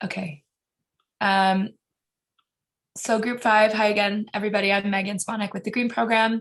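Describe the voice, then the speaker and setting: A woman with a medium pitch sounds somewhat breathy, speaking in a monotone, flat intonation with long, frequent pauses. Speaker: breakout group presenter at online workshop. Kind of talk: group report-back. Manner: fast.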